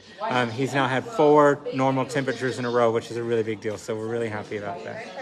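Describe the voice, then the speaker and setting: A man's mid-pitched voice, very fast with fairly even intonation, over noticeable background noise. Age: 50s. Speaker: animal sanctuary founder hosting a fundraiser. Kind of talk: live-streamed fundraising telethon, casual chat.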